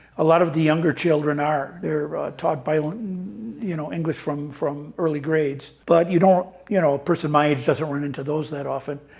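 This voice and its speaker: A man's fairly high-pitched voice with ordinary pitch variation and hardly any pauses. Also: moderate pace. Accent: Upper Midwest. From US Midwest (Wisconsin/Minnesota). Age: 70s. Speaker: retiree living abroad. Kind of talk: interview testimony. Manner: halting, many fillers and repeats.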